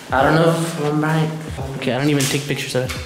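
Audible room echo and noticeable background noise surround a man who speaks at a very fast pace. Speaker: urban explorer vlogger. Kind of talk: casual vlog chat. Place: empty room. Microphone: camera far.

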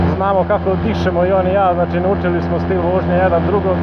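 Loud background noise fills the clip. A man speaks over it at a fairly quick pace. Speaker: motorcycle vlogger. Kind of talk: casual vlog chat. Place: motorbike. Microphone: helmet.

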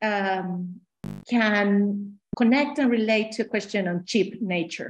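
Speaking at a very slow pace with fairly even intonation, a woman with a Spanish accent is heard over light background noise. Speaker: academic panel respondent. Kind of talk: online panel discussion. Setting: video call. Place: home room. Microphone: video call.

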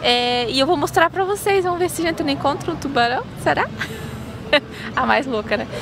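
Against crowd noise in the background, a woman with a high pitch speaks at a moderate pace in a dry sound with no echo. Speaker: travel vlogger. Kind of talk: casual vlog chat. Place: street. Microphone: phone near.

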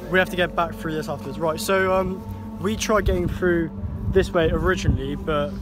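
Music plays in the background as a man talks at a fairly quick pace in a dry sound with no echo. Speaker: vlogger filming friends. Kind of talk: casual vlog chat. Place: open country. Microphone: phone near.

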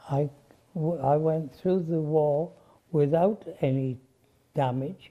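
A man at a very slow pace with long, frequent pauses, fairly high-pitched, his intonation fairly even. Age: 80s+. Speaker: war veteran. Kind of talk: interview answer. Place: garden. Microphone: lapel.

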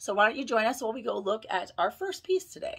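A woman's bright, sharp tone with lively intonation against a quiet background. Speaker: toy collector vlogger. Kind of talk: casual vlog chat. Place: home room. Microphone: phone near.

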